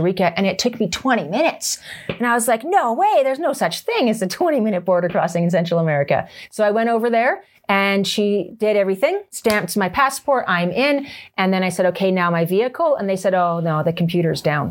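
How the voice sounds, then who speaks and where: With a Canadian accent and lively intonation, a woman talks at a very fast pace on a very clean recording with a silent background. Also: medium pitch for a woman, very even loudness. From Canada. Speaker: motorcycle trainer. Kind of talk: casual chat. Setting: on location in Canmore.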